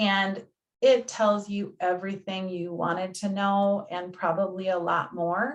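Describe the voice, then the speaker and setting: A woman with an ordinary speaking voice talks fairly slowly, her medium pitch showing ordinary pitch variation. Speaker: health insurance navigator. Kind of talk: presentation.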